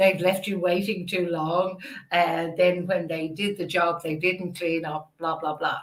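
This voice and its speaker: Someone speaks with an Irish accent at a fairly slow pace, keeping the intonation fairly even. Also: woman. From Ireland. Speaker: podcast host. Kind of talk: interview.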